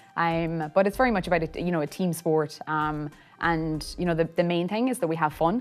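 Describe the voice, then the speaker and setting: A woman talks at a fairly quick pace with an Irish accent. The recording is very clean, and the background is silent. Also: fairly low pitch for a woman, ordinary pitch variation. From Ireland, County Mayo (west coast). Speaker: Gaelic football club founder. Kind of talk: interview. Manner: hesitant, many fillers.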